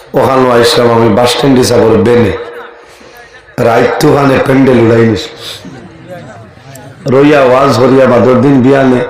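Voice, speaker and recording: Against noticeable background noise, a man at medium pitch speaks in a monotone, flat delivery with very even loudness. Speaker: Islamic preacher giving a waz sermon. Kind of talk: Islamic public sermon (waz). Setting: open-air stage with PA system. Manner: loud, preacherly, addressing a crowd.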